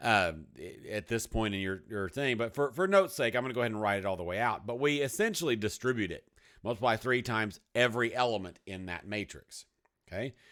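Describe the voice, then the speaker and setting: A man with a Texas accent talks very fast at a medium pitch, his intonation lively. The recording is very clean, with a silent background. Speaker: math teacher. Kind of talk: video lesson. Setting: hot room. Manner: casual, conversational.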